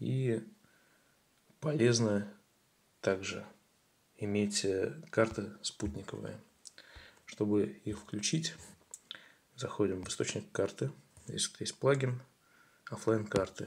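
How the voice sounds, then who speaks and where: With vocal fry and a fairly low pitch, a man speaks at a very slow pace with long, frequent pauses and lively intonation. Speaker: tutorial video creator. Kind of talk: tutorial.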